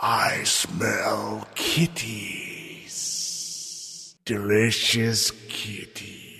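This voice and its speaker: A man performs a put-on character voice at a medium pitch. He goes at a very slow pace with hardly any pauses. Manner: menacing, gleeful.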